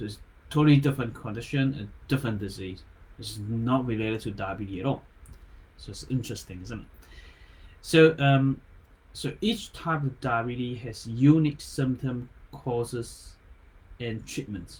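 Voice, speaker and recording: Somewhat breathy and medium-pitched, a man with a non-native accent talks at a moderate pace with ordinary pitch variation. He leaves long, frequent pauses, and his loudness swings widely. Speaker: acupuncturist. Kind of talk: health talk livestream. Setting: live online video. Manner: halting, stumbles on words.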